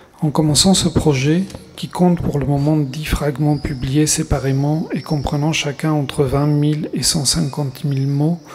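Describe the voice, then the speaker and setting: Noticeable background noise sits behind a man who speaks at a fairly slow pace and a fairly high pitch. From Argentina, Buenos Aires. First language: Spanish (speaking French). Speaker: writer. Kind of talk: reading aloud. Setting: stage with audience.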